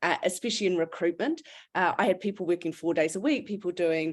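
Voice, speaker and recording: A woman talks at a fairly quick pace in a New Zealand accent. Her medium pitch carries lively intonation. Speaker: recruitment business founder. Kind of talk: webinar panel discussion.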